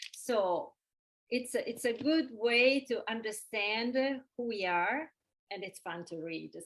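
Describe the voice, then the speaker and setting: A woman talks at a very slow pace, with long, frequent pauses. Her pitch is fairly high and her intonation lively. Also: big swings in loudness. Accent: Italian. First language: Italian. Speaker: event moderator. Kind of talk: webinar Q&A moderation. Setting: video call. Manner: hesitant.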